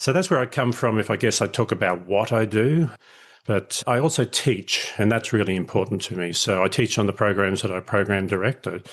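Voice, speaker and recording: A man with a fairly low pitch and ordinary pitch variation, at a fairly quick pace against a quiet background. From Australia, country Queensland. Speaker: leadership educator. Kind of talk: podcast interview. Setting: remote call.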